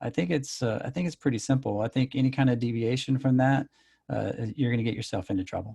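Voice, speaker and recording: With an American accent, a man talks at a very fast pace in a somewhat breathy, dark, mellow voice of medium pitch with ordinary pitch variation, recorded with a dry, close sound and no echo. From Texas. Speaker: software executive. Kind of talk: interview. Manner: hesitant, many fillers.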